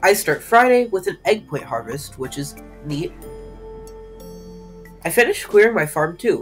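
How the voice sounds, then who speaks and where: Music runs in the background while the words come at a moderate pace. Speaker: gaming video narrator. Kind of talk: gameplay voiceover narration.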